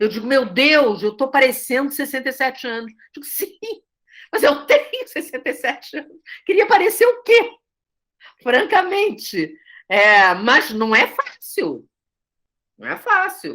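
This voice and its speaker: A woman's high, bright, sharp voice at a fairly slow pace, with very wide pitch swings, big swings in loudness and long, frequent pauses. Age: 60s. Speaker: theatre director and teacher. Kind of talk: study group discussion. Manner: conversational with many fillers.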